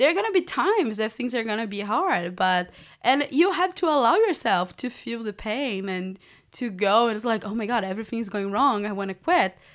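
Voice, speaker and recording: A woman with a Portuguese accent, fairly high in pitch, at a fairly quick pace with lively intonation, in a very clean recording against a silent background. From Brazil, Rio de Janeiro. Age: 20s. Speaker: women's mentor. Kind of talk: interview. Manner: animated, laughs often.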